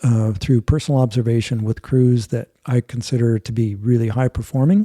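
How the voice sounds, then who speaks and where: A man speaks with a dark, mellow tone and a somewhat breathy quality. The sound is dry and close, with no echo. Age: 60s. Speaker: airline captain and mountaineer. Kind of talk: interview conversation.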